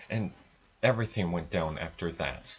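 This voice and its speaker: A man mumbles at a fairly slow pace, his voice somewhat breathy and his intonation lively. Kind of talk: casual film review to camera. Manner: stuttering, mumbling.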